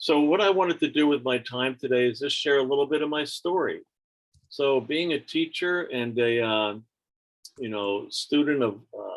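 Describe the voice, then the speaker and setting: This man has a plain, everyday voice, fairly high in pitch, talking at a moderate pace with ordinary pitch variation. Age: 60s. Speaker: teacher and storyteller. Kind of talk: personal storytelling on a video call. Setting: video call.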